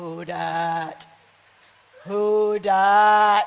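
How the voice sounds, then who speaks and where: A man puts on a character voice. He pitches it high. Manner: calling out, menacing.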